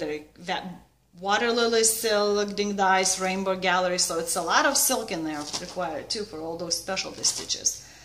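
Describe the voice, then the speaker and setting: A woman is speaking. She has a Lithuanian accent. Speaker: needlework vlogger. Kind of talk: casual vlog chat. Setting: video at home. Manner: informal, slightly halting. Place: home room. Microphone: webcam.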